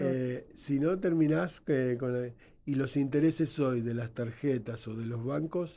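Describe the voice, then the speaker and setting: With a Buenos Aires accent, a man speaks at a medium pitch in a dark, mellow tone. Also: ordinary pitch variation, fairly slow pace. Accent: Rioplatense Spanish (Buenos Aires). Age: 60s. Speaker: nurse and educator, founder of a health training institute. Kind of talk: radio interview.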